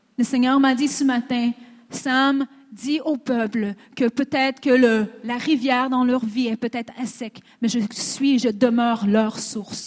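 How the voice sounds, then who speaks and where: At a very slow pace, a woman with a high pitch talks with fairly even intonation. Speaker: interpreter and conference speaker. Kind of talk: consecutive interpreting of a sermon, plus personal testimony.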